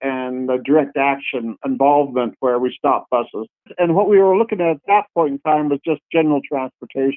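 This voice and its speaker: Fairly high-pitched male speech in an unremarkable speaking voice, moderately paced, its pitch varying in an ordinary way. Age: 60s. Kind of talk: interview.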